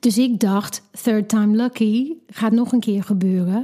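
Somewhat breathy and dark, mellow in tone, this voice with an English accent keeps fairly even intonation at a fairly slow pace. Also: woman. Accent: English-accented Dutch. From England. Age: 40s. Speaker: mother sharing birth story. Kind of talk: personal storytelling interview. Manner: halting.

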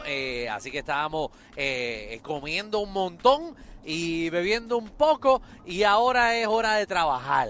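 Over noticeable background noise, a man speaks at a fairly slow pace in a high pitch. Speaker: radio host. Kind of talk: casual chat. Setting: on-location live remote broadcast.

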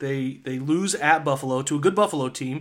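Moderate pace and a fairly high pitch from a man with a plain, everyday voice. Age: 30s. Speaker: sports podcast host. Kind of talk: casual chat.

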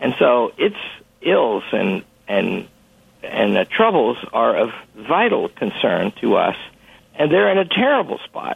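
Long, frequent pauses break up this very slowly paced speech. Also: man. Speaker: college president. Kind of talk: interview discussion on radio show. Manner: professorial, halting with fillers.

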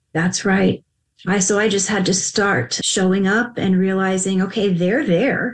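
A woman talks in an ordinary speaking voice at medium pitch. Her pace is fairly slow. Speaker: podcast host and psychic medium. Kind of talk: interview. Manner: warm, effusive.

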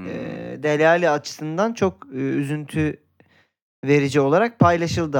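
Here is a man with an unremarkable speaking voice. His pace is fairly slow and his pitch variation is ordinary. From Turkey, Izmir. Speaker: football podcast co-host. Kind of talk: casual chat.

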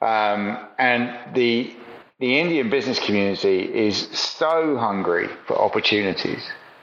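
A man speaks at a fairly slow pace with very even loudness. There is audible room echo. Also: medium pitch for a man, ordinary pitch variation. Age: 50s. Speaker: retail consultant. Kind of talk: interview. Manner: halting.

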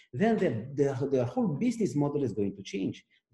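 A man with a Romanian accent speaks at a moderate pace, his fairly high pitch swinging very widely. His tone is dark and mellow, and somewhat breathy. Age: 40s. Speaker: AI research executive. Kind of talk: interview. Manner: halting.

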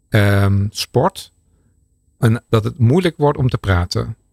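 A man's medium-pitched voice at a very slow pace, with a dry, close sound, no echo, and a very clean recording with a silent background. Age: 50s. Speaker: research scientist. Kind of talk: expert interview. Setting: studio.

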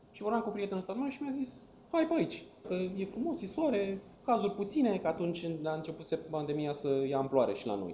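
Noticeable background noise sits under a man whose high-pitched voice makes very wide pitch swings. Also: fairly quick pace. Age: 20s. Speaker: travel YouTuber. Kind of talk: casual interview chat.

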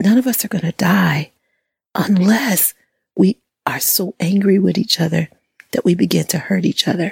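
A woman with vocal fry speaks at a medium pitch and moderate pace, leaving long, frequent pauses, in a dry, close sound with no echo. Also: ordinary pitch variation. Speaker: hypnotherapist. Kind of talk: calming motivational talk.

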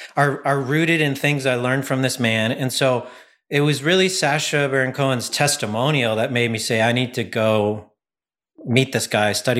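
An ordinary speaking voice from a man at medium pitch, moderate pace and fairly even intonation, in a very clean recording with a silent background. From Canada. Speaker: comedian and filmmaker. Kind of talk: interview.

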